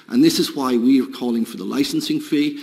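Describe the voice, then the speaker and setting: A man at a fairly quick pace against noticeable background noise. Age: 50s. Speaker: industry representative. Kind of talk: committee testimony.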